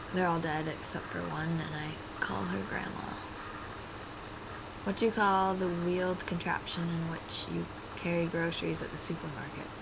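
Loud background noise around a woman's moderate pace. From Oklahoma, US South. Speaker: vlogger. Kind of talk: casual accent challenge answers. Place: home room. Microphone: earbuds.

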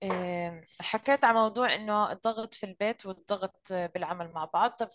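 This is a woman with an ordinary speaking voice, medium in pitch with ordinary pitch variation, at a moderate pace. The sound is dry with no echo, and the background is quiet. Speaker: career coach and social media influencer; career coach, social media influencer. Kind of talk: hosting online live session. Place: home room. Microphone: sounds distant, far from the mic; video call.

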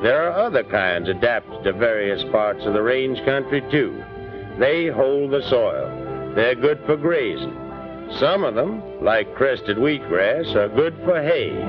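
With music in the background, a man speaks in a Western US accent at a fairly slow pace. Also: very even loudness. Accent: Western American twang. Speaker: narrator. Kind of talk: documentary narration. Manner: earnest, patriotic.

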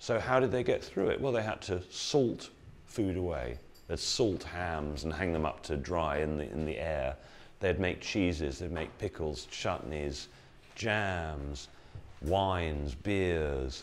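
A man speaks at a very slow pace with an English accent. His voice is very deep and low. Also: lively intonation. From England. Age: 60s. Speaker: health educator. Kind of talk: talk to live audience. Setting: room with live audience. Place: hall. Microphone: lapel.

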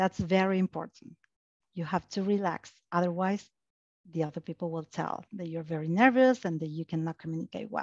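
Speaking with an Argentine accent at a fairly quick pace, a woman has a fairly low pitch and ordinary pitch variation, recorded with a dry sound, no echo and a quiet background. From Argentina. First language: Spanish. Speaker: technical account manager. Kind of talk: panel discussion. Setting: online video webinar. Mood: calm, advising. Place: home room. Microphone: headset.

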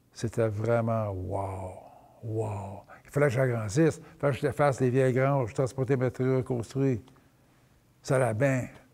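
A man's dark, mellow, somewhat breathy voice at a fairly slow pace, with big swings in loudness and long, frequent pauses. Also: ordinary pitch variation. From Quebec. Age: 70s. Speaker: sugar shack owner. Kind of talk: life story interview. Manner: halting. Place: hall. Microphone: lapel.

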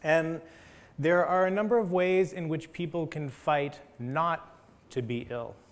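A man's fairly high pitch varies in an ordinary way as he talks fairly slowly. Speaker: history of science lecturer. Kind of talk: academic lecture. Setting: stage with audience. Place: hall. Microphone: lapel.

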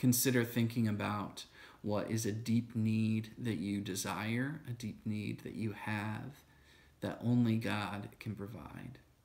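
This man speaks at a medium pitch with fairly even intonation and a calm, soothing tone. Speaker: church video host. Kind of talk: guided breath prayer, led slowly with spoken prayers and breaths. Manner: calm, slow, soothing, gentle pacing; halting with frequent fillers in teaching. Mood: calm, gentle, contemplative. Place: home room. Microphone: phone near.

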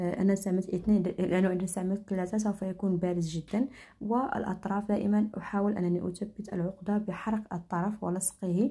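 The tone is dark, mellow and somewhat breathy, with fairly even intonation. The pace is moderate, with hardly any pauses. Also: woman, medium pitch for a woman. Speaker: crafts tutorial creator. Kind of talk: tutorial. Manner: halting, many fillers and restarts.

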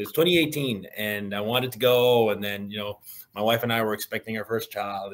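A man talks at a fairly quick pace with ordinary pitch variation. His tone is bright and sharp. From Atlantic Canada. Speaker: music blogger. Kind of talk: casual chat. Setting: video call. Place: home room.

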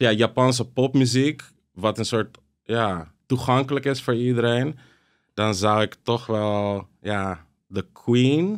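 Against a quiet background, a man speaks very slowly at a medium pitch. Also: ordinary pitch variation. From Amsterdam, Jordaan; Netherlands. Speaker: DJ and content creator; DJ, content creator. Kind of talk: casual chat. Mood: relaxed, storytelling. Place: studio. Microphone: studio mic.

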